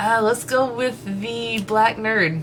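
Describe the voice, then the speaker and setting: With a strong Texas accent, a woman speaks with lively intonation over noticeable background noise. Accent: thick Texas. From Texas, family from deep East Texas. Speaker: YouTuber. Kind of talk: Q&A session. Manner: hesitant, many fillers.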